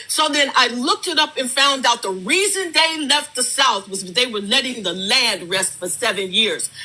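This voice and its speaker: A woman's raised, projected voice, high in pitch with very wide swings, at a moderate pace over noticeable background noise. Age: 70s. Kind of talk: heated debate.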